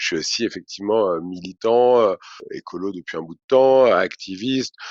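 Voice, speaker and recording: A man is speaking. His pace is moderate. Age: 30s. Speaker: ecology activist and entrepreneur. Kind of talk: podcast interview. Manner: hesitant, many fillers.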